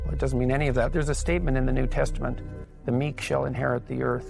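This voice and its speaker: A man speaks with music playing in the background. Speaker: clinical psychologist. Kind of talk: motivational speech.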